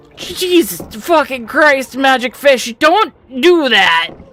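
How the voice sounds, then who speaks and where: This put-on character voice is high-pitched and strained, delivered at a very slow pace. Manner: throaty and rough.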